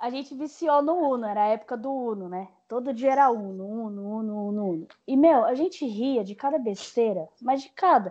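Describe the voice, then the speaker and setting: Barely pausing, a woman with a fairly high pitch and a dark, mellow tone speaks at a moderate pace with lively intonation and big swings in loudness. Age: 20s. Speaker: journalism graduate working in sales representation. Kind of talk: casual chat.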